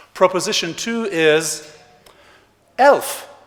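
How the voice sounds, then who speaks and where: A man's voice in a French accent. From Switzerland, Geneva (French-speaking). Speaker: economist, conference speaker. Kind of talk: plenary lecture. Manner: animated.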